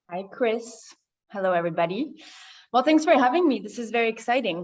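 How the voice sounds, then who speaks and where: A woman's ordinary speaking voice, fairly high in pitch with lively intonation, against a quiet background. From France, raised in California from age seven. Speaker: winery representative. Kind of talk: virtual panel conversation.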